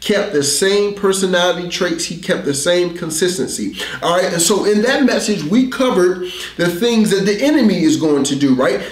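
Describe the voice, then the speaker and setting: A man at a moderate pace amid audible room echo. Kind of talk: sermon. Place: studio.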